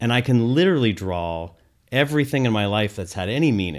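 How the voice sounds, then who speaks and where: A man's ordinary speaking voice, fairly low in pitch with lively intonation. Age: 40s. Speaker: nonprofit executive director. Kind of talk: casual interview.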